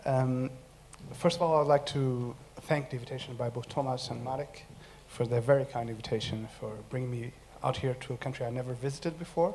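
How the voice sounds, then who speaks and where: A somewhat breathy male voice, fairly quick, with fairly even intonation. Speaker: academic researcher. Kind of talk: conference presentation. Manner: fast.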